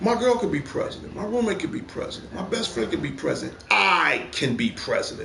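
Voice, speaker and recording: A man talks in an animated tone at a fairly quick pace with hardly any pauses, amid audible room echo and noticeable background noise. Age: 50s. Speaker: gaming livestream host. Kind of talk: casual opinion rant on livestream. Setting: PS4 live stream.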